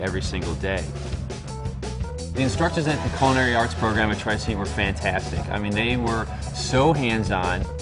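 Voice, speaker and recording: Clear music can be heard behind the speech. The man's delivery is fairly brisk. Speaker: cook. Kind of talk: interview answer. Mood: positive, appreciative. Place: cafe.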